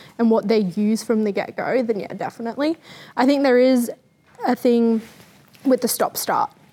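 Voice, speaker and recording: At a moderate pace, a woman with an Australian accent speaks in a fairly high pitch. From New South Wales, Australia. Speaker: podcast co-host. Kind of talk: casual chat.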